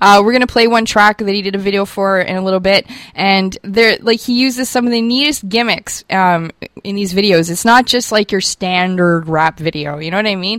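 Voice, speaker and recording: An ordinary speaking voice moves at a fairly quick pace. Its pitch variation is ordinary. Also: woman, medium pitch for a woman. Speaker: radio host. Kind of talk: radio show patter, promoting the show and interview. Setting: radio studio broadcast. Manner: chatty, casual, upbeat.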